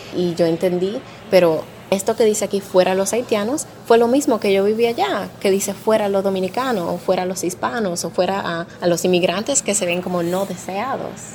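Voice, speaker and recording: At a moderate pace, a woman speaks with a medium pitch and ordinary pitch variation amid noticeable background noise. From Arizona, US (Dominican family). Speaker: historian. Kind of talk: testimony.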